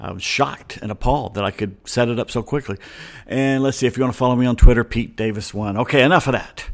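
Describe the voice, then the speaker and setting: A man with an American accent talks at a very fast pace. His pitch sits in the medium range and varies in an ordinary way. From US South, Atlanta. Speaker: sports podcast host. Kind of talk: casual sports talk monologue. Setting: home studio, solo microphone.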